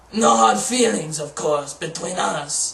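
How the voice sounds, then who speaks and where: A man puts on a character voice. He speaks at a fairly slow pace with a fairly high pitch. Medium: read story. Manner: squawking.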